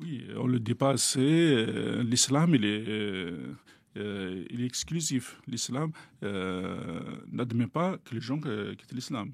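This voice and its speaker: A man with an Algerian accent, medium in pitch, very slow in pace, and lively in intonation. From Algeria, Kabylie. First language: Kabyle (speaking French). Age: young. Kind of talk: interview testimony. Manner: hesitant, many fillers.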